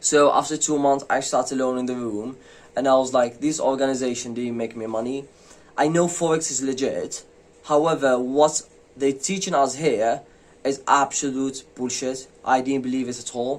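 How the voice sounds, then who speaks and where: A man's medium-pitched voice with a non-native accent and fairly even intonation. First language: not English. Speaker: forex trading youtuber. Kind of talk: casual vlog monologue. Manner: hesitant, many fillers.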